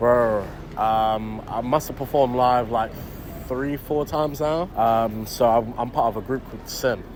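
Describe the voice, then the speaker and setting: Against noticeable background noise, a man at a medium pitch talks at a fairly slow pace with fairly even intonation. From UK. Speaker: rapper. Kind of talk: interview. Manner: casual, filler-heavy speech.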